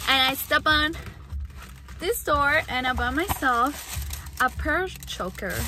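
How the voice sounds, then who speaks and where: A woman speaking at a very slow pace, a dry sound with no echo, and noticeable background noise. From Ecuador. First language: Spanish. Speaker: vlogger. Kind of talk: casual vlog talk to camera. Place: car. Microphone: phone near.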